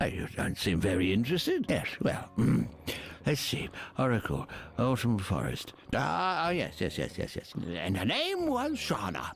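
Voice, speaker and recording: A man's put-on character voice at a moderate pace, with clear background noise. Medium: video game. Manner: rambling, hesitant, chuckling.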